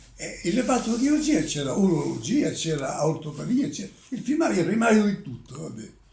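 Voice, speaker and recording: Over noticeable background noise, a man with a high pitch talks at a fairly quick pace, his voice showing very wide pitch swings and big swings in loudness. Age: 80s+. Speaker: retired country doctor. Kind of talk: interview. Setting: at home. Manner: halting.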